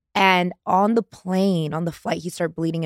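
At a moderate pace, the speaker talks in an animated tone with an American accent. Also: woman. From Indiana. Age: 30s. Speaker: reality TV star. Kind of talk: casual chat.

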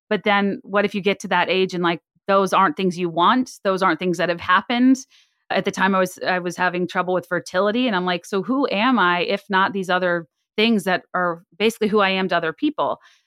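In a very clean recording with a silent background and a dry, close sound with no echo, a woman with an unremarkable speaking voice talks at a fairly quick pace, medium pitch and ordinary pitch variation. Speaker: podcaster. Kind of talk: casual chat.

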